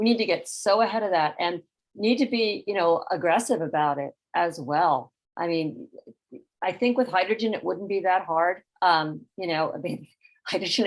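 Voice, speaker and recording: A woman's unremarkable speaking voice, medium in pitch, with ordinary pitch variation and a moderate pace. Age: 60s. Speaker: climate advocate. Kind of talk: panel discussion.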